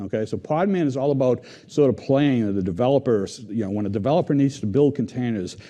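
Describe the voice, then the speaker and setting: Over a quiet background, a man talks with lively intonation. He has a Boston accent. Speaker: software engineering team lead. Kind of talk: conference tech talk.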